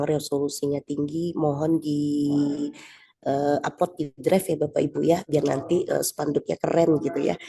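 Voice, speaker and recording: Soft-spoken, a woman talks at a moderate pace with a very deep, low pitch and a dark, mellow tone. Her intonation is monotone and flat. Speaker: event organizer. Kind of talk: meeting announcement. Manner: halting.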